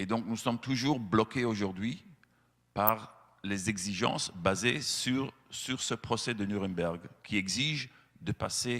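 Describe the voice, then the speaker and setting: Here a man speaks with a Belgian accent. His pitch variation is ordinary. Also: very clean recording, silent background. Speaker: animal-rights association representative. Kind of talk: speech to lawmakers. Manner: hesitant, many fillers.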